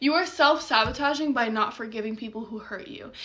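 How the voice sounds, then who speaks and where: A woman's animated tone with ordinary pitch variation, set against noticeable background noise. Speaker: mindset coach. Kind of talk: motivational short talk. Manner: fast.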